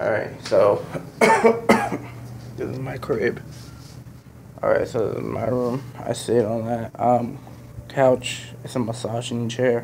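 Fairly slow speech comes from a male speaker, with audible echo from the room and noticeable background noise. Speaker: gaming youtuber. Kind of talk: casual vlog, room tour. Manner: hesitant, many fillers.

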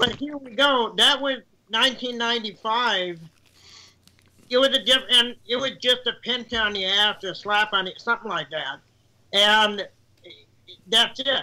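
A man with an extremely high pitch and a bright, sharp tone raises and projects his voice, speaking at a very slow pace with ordinary pitch variation and long, frequent pauses. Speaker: citizen panelist; panelist. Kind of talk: casual political discussion. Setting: video call. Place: home room.

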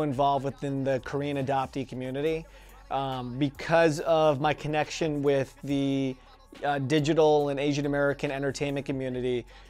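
Faint music plays in the background while a man speaks at a fairly quick pace in a monotone, flat intonation. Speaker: interviewee. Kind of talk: interview answer. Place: studio. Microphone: lapel.

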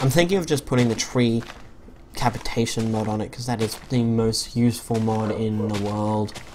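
Moderate pace with noticeable background noise. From Australia. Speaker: gaming YouTuber. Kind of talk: let's play commentary. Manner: hesitant, many fillers.

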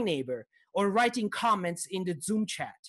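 A man talks in an Italian accent at a moderate pace. His tone is fairly bright.

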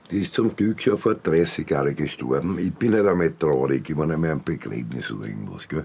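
A man's very deep, low voice with very wide pitch swings, at a fairly quick pace with hardly any pauses. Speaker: former prison inmate. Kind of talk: interview answer in a TV documentary. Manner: halting, hesitant. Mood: casual, gruff. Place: home room.

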